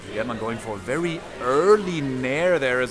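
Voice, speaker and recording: With music in the background, a man in a German accent speaks with very wide pitch swings. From Germany, Berlin. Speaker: esports commentator. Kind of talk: live commentary. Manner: animated.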